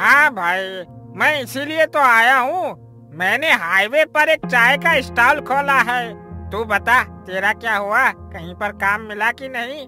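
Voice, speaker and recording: A cartoonish character voice is raised and projected. Clear music plays in the background. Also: man, extremely high pitch for a man, fairly slow pace. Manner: warm, enthusiastic.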